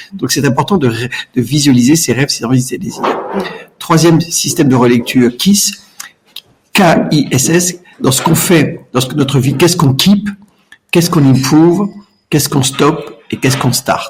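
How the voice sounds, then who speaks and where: The speech moves at a fairly quick pace with ordinary pitch variation. Long, frequent pauses break it up. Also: man. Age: 60s. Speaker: entrepreneur. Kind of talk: podcast interview. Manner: hesitant, repeats words.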